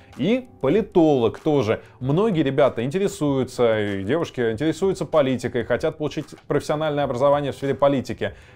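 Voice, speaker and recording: Faint music plays in the background as a man talks at a fairly quick pace with lively intonation. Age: 30s. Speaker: exam prep tutor. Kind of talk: educational vlog talk. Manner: casual, conversational. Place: studio. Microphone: lapel.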